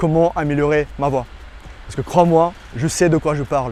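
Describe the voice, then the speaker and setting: A man's fairly slow speech with a non-native accent and fairly even intonation. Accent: foreign accent in French. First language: not French (speaking French). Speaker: dating coach. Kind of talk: tutorial. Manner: halting.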